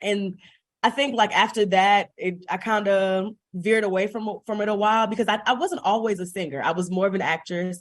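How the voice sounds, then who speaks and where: Against a quiet background, a woman with an American accent speaks at a fairly quick pace in a medium pitch. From US Midwest, Chicago. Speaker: singer and theater teacher. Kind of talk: interview conversation. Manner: animated.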